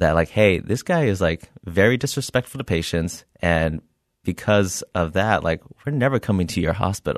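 A man speaks at a moderate pace with lively intonation and a very deep, low pitch. The sound is dry and close with no echo, over a quiet background. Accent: West Coast. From California, Bay Area (Milpitas). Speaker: comedian and former ER tech. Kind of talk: casual interview chat.

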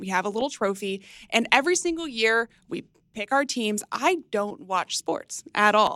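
A woman speaks with an American accent in an ordinary speaking voice. Her pitch is fairly high and her intonation is lively. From Texas, McKinney (north of Dallas). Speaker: stock analyst. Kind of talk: game show banter.

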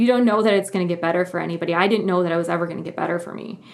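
A woman with a Midwestern American accent speaks at a fairly low pitch. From US Midwest. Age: 30s. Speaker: journalist. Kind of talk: interview testimony.

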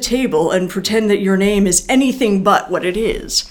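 Her voice is fairly high, and she speaks with an American accent and lively intonation. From US Northeast, Philadelphia area. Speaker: neuroscience professor. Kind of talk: interview.

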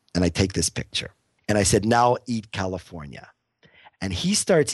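Against a quiet background, a man with an American accent uses a normal speaking voice with lively intonation at a moderate pace, in a dry, close sound with no echo. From US, Pittsburgh. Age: 50s. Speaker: photographer. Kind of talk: interview.

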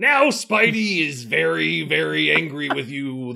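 Putting on a growling character voice at medium pitch, a man speaks at a fairly slow pace. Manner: growling, macho.

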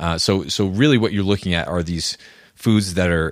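Very clean recording, silent background, of a man with an American accent. His pitch is very deep and low, with ordinary pitch variation. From US Northeast, rural New Hampshire. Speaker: author and health podcaster. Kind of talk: casual interview.

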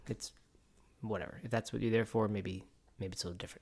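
The speech is mumbled, with a bright, sharp tone and ordinary pitch variation. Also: man. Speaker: podcast co-host. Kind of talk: casual chat. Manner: fast, mumbling.

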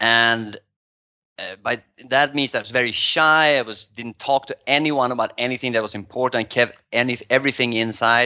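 A man with a Swedish accent talks at a moderate pace and medium pitch, with fairly even intonation and a bright, sharp tone. His loudness swings widely, and the sound is dry and close with no echo. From Sweden. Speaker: poker player and life coach. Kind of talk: casual interview. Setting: video call from Thailand.

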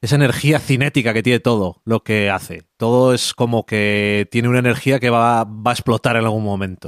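Recorded very cleanly with a silent background, a man speaks in a dry, close sound with no echo. His pitch is medium, and his intonation is fairly even. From Spain, Burgos. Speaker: comics podcast co-host. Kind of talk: casual chat.

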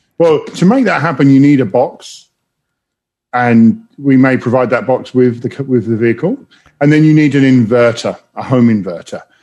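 A man speaks with an English accent. His tone is dark and mellow, and his pace is moderate. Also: medium pitch for a man, ordinary pitch variation. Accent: English accent noticeable. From London, England. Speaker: automotive executive. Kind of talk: interview.

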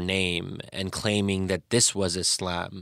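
A man's very deep, low voice, flat and monotone at a fairly slow pace, on a very clean recording with a silent background. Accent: American. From US, Pennsylvania (Bryn Mawr). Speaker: policy scholar and author. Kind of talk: interview. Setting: studio.

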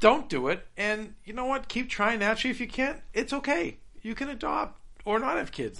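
Raising and projecting his voice, a man speaks at a fairly quick pace in a high pitch with a bright, sharp tone. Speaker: guest discussing his surgery and health. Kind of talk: casual chat. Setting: studio.

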